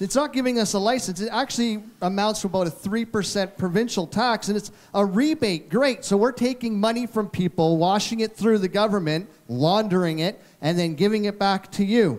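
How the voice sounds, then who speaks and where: A man talks at a fairly quick pace, with a high pitch and ordinary pitch variation. His loudness stays very even, and there are hardly any pauses. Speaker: election candidate. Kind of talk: candidates forum debate.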